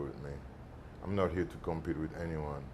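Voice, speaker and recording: A man's very deep, low voice with a Haitian accent, fairly even intonation, and audible room echo. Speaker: actor. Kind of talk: interview. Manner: halting, many fillers.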